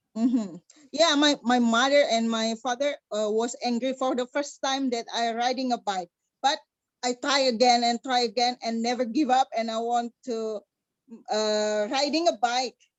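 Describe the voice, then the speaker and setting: Speaking in an Indonesian accent, the voice keeps a fairly slow pace with ordinary pitch variation. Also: woman. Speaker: motorcycle rider, engineer. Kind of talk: interview. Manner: halting.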